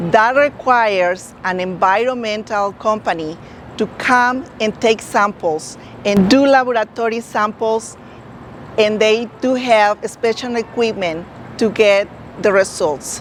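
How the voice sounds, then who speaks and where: A woman with a non-native accent and a fairly high pitch, ordinary pitch variation and a fairly slow pace. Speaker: real estate agent. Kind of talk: informational talk to camera.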